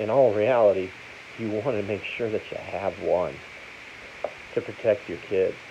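A man talks at a moderate pace, stopping often for long pauses. There is noticeable noise behind him. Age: 50s. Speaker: gun seller and video host; gun seller, video host. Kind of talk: casual talk to camera. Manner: plain, unpolished speech. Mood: opinionated, persuasive. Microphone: phone near.

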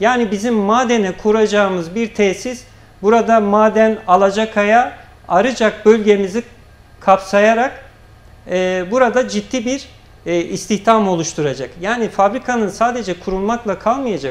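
A man talks fairly slowly, his pitch high. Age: 30s. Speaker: local party chairman; guest. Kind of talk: political TV interview. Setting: TV studio. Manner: formal. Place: studio. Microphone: lapel.

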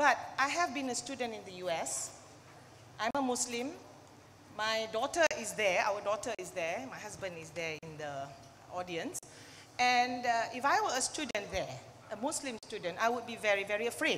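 A voice moves at a moderate pace with very wide swings in pitch. Long pauses come often, over light background noise. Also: woman. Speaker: speaker. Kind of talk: panel discussion remarks. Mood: earnest, concerned. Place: hall. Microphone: handheld.

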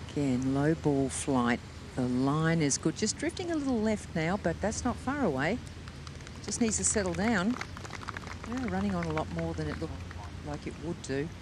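The speaker sounds excited, with long, frequent pauses. Noticeable background noise runs underneath. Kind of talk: live golf commentary. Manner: hushed, measured play-by-play that tightens into urgent, excited calls as the ball runs; fluent, fast shot-by-shot descriptions with technical detail.

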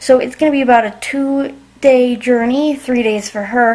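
Light background noise sits behind a woman's voice. She has a high pitch and a fairly slow pace. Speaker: vlogger. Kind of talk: casual vlog chat. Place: home room. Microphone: phone near.

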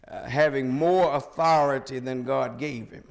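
Fairly high in pitch, a man talks fairly slowly in a plain, everyday voice with ordinary pitch variation against a quiet background. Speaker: preacher. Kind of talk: sermon delivered to a congregation. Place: church.

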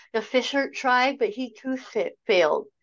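Moderate pace from a woman, the background quiet. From Canada. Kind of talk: virtual meeting presentation. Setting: video call. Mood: calm and reflective. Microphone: video call.

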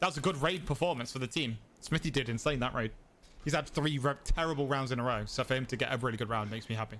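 Speaking very fast with an East Midlands accent, this man uses ordinary pitch variation. There is light background noise. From England, Derby. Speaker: game streamer. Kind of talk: live gameplay commentary. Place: home room.

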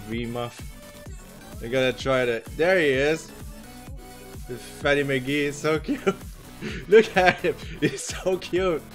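Faint music plays in the background as a man speaks at a moderate pace with ordinary pitch variation. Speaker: artist streamer. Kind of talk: casual stream chat while drawing. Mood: relaxed, amused. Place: home room.

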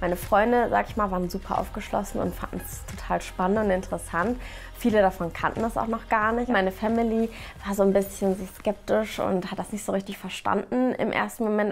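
Faint music plays in the background as a woman speaks at a fairly quick pace with fairly even intonation. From Mainz, Germany. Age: 30s. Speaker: ASMR artist. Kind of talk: casual interview answer. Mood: cheerful, relaxed. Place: home room.

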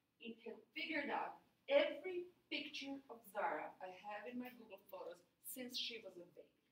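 In a room with audible echo, a woman with a high voice speaks at a moderate pace, showing very wide pitch swings and big swings in loudness. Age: 40s. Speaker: university lecturer. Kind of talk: lecture. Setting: classroom. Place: classroom.

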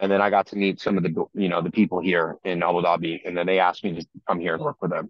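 With an American accent, a man speaks very fast at a very deep, low pitch with fairly even intonation, the sound dry with no echo and the background quiet. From Northern Virginia, US; Virginia. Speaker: crypto entrepreneur and asset manager; interview guest. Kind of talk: casual chat. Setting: video call.

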